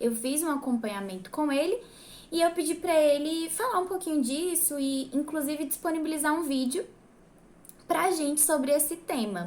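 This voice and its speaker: A woman's high-pitched voice at a moderate pace. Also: lively intonation. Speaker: church singer and vocal coach. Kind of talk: tutorial. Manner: casual, with many filler words.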